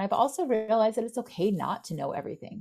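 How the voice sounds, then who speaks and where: A woman's very fast speech with vocal fry. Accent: American. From Florida. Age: 50s. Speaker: software company co-founder. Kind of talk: interview.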